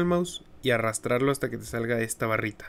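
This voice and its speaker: With a Mexican accent, a man speaks at a medium pitch and a moderate pace, using ordinary pitch variation. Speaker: gaming YouTuber. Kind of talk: tutorial. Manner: casual, conversational.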